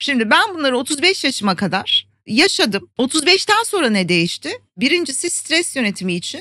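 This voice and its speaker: A woman speaks at a moderate pace in a high pitch with very wide pitch swings. Her voice is raised and projected, with a bright, sharp tone. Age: 50s. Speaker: Ayurveda expert and wellbeing educator. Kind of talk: interview.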